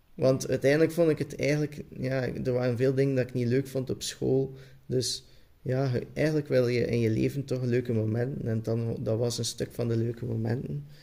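A man speaks with a Flemish accent and a dark, mellow tone. His intonation is fairly even. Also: medium pitch for a man, moderate pace. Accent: Flemish Dutch. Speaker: podcast guest. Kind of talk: casual chat.

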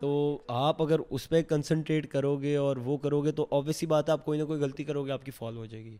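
Using a plain, everyday voice, a man speaks at a fairly high pitch with fairly even intonation but big swings in loudness. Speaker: mountain climber. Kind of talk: interview.

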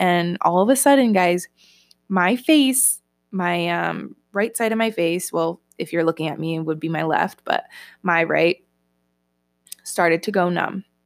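A woman's medium-pitched, animated voice at a moderate pace, dry and close with no echo, on a very clean recording with a silent background. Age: 20s. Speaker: podcast host and online health coach. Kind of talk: casual personal storytelling monologue.

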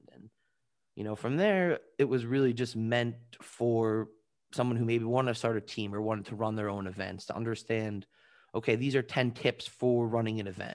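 With a New York accent, the speaker goes at a moderate pace with fairly even intonation and big swings in loudness, on a very clean recording with a silent background. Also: man, medium pitch for a man. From Long Island, New York. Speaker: entertainment and esports attorney. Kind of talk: interview.

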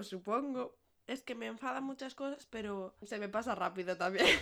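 This woman speaks loudly with lively intonation. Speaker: podcast co-host. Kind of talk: casual chat. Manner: fast.

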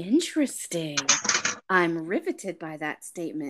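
A woman has a normal speaking voice, fairly low in pitch. She talks at a fairly slow pace. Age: 40s. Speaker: sex podcast host. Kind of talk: casual chat.

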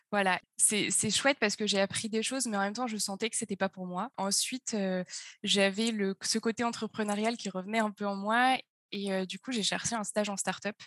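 Against a quiet background, a woman speaks at a moderate pace and medium pitch in a monotone, flat intonation, with a dry, close sound and no echo. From France, Auvergne (Puy-de-Dôme). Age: 20s. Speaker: startup co-founder and finance chief. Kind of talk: interview. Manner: hesitant, many fillers.

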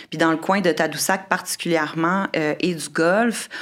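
A woman speaks in a normal speaking voice with a fairly low pitch. Her pace is fairly slow and her intonation fairly even. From Quebec City. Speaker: marine biologist and environmental entrepreneur. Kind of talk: casual chat.

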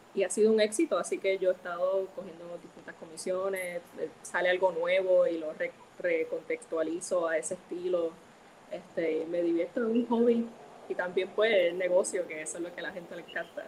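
A woman's voice with big swings in loudness over noticeable background noise. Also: medium pitch for a woman, fairly even intonation, moderate pace. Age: 20s. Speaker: comic book colorist. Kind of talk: interview. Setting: live stream.

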